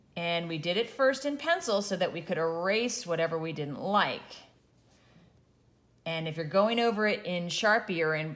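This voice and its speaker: A woman talks with lively intonation at a fairly low pitch. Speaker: art teacher. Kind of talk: tutorial. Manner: animated.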